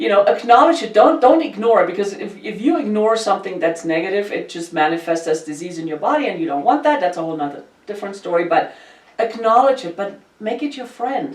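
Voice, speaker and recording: A woman's medium-pitched voice at a very fast pace, with very wide pitch swings and big swings in loudness, amid noticeable background noise. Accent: German. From Germany. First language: German. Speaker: podcast host. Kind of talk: casual chat. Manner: animated.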